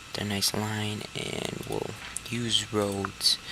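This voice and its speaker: A man's fairly low, monotone voice at a very slow pace, flat in intonation, over noticeable background noise. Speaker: gaming video creator. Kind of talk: gameplay tutorial. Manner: halting, many fillers.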